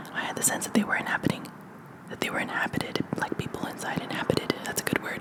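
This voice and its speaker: Someone whispers at a very fast pace. Background noise is noticeable. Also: woman. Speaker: ASMR creator. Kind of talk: ASMR book reading. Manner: whispered.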